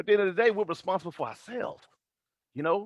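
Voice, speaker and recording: A man with a Texas accent at a very fast pace. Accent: deep Texas. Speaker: motivational vlogger. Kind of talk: motivational live stream monologue. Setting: Facebook live stream. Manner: animated.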